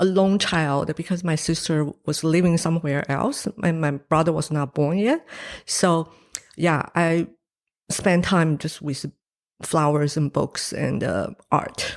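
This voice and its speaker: A woman with a Chinese accent speaks at a very slow pace, her pitch fairly low with ordinary variation. The recording is very clean, with a silent background. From Taiwan. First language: Mandarin Chinese. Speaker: painter. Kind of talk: interview. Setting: studio. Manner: hesitant, many fillers.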